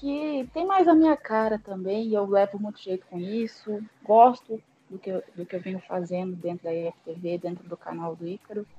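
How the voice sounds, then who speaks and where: A woman speaks with a Brazilian accent at a medium pitch. Her intonation is lively, with big swings in loudness. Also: moderate pace. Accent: Brazilian accent, noticeable. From interior of São Paulo state, Brazil. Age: 30s. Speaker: esports team organizer. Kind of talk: podcast interview. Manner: hesitant, many repetitions.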